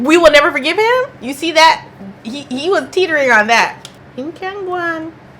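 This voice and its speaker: A woman's extremely high, animated voice with lively intonation, big swings in loudness and a moderate pace, over noticeable background noise. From Canada. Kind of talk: casual talk to camera. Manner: chatty, animated.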